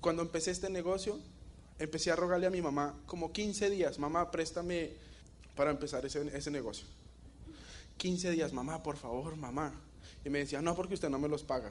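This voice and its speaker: With long, frequent pauses, a man speaks at a fairly quick pace and fairly high pitch with ordinary pitch variation. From Colombia, Bogotá. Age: 20s. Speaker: network marketing distributor. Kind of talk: motivational talk. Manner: animated.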